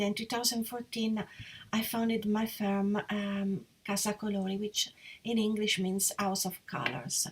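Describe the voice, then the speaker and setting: With an Italian accent, a woman talks in a somewhat breathy voice at a fairly high pitch. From Italy, Perugia. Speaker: interior designer. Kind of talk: live presentation. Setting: live online session. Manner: hesitant, with fillers.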